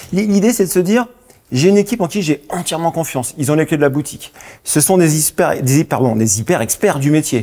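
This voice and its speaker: With a northern French accent, a man speaks at a fairly quick pace with a fairly high pitch, a dark, mellow tone, lively intonation and very even loudness. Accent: northern French (Lille). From northern France, Lille. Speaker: company founder. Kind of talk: TV interview. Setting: TV studio. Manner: stumbling over words.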